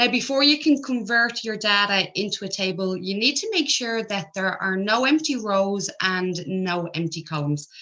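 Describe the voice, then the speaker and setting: Bright and sharp in tone, a woman talks at a moderate pace and medium pitch with lively intonation and hardly any pauses. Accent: Irish. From Ireland. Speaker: accountant and spreadsheet trainer. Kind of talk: tutorial.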